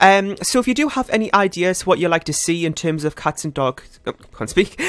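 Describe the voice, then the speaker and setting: Talking very fast, a man uses a high pitch and lively intonation. The sound is dry and close, with no echo. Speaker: gaming youtuber. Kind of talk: casual gameplay commentary.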